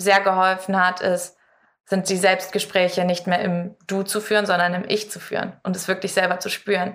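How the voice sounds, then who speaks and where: Fairly low-key? No: a medium-pitched female voice, flat and monotone in intonation, moving at a moderate pace. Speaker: competitive climber. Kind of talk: interview. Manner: clear, composed.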